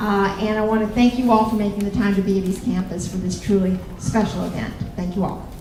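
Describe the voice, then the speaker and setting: Amid noticeable background noise and audible room echo, a woman with a Southern US accent and medium pitch speaks very fast in a monotone, flat intonation. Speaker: college campus president. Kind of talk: welcome speech.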